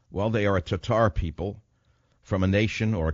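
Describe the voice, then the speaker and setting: Here is a man with a normal speaking voice and fairly low pitch. He talks at a fairly quick pace with ordinary pitch variation. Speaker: talk radio host. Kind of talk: talk radio monologue.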